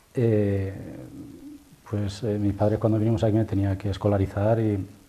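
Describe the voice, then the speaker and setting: Monotone, flat intonation at a moderate pace. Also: man, fairly low pitch for a man. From Spain, Valencia (Torrent). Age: 50s. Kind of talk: testimony interview. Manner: halting, many fillers.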